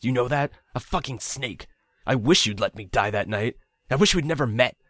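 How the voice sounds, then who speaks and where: Putting on a character voice, a man speaks at medium pitch and a fairly quick pace with lively intonation and some hissing, the sound dry and close with no echo. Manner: hissing, cold fury, bitter.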